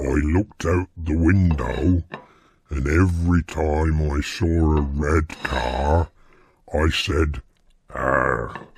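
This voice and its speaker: A put-on character voice at a very slow pace. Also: man, very deep, low pitch for a man. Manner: grunting.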